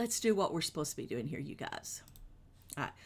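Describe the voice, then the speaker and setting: A woman with a Kentucky accent talks with very wide pitch swings. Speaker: children's show streamer. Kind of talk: live stream kids' show host chat. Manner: casual, chatty.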